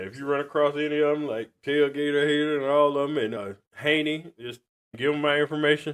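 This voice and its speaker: With an American accent and an unremarkable speaking voice, the speaker moves at a fairly quick pace, with fairly even intonation and big swings in loudness. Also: man, fairly high pitch for a man. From US South, Georgia. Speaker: podcast host. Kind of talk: casual chat.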